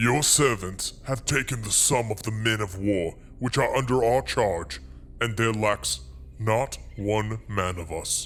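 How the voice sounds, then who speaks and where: A man puts on a character voice at a medium pitch and a fairly slow pace. Background noise is clearly audible. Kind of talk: scripture dramatization. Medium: audio drama. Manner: deferential.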